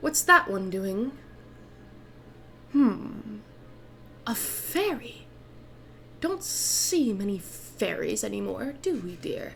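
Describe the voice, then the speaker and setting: A woman's put-on character voice, fairly high-pitched, at a very slow pace with long, frequent pauses and clear background noise. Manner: sly, sweetly menacing.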